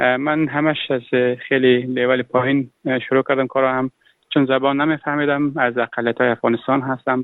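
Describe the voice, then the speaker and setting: Flat and monotone, a man speaks at a fairly quick pace in a medium pitch, keeping his loudness very even. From Afghanistan. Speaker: refugee entrepreneur. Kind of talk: interview. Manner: halting.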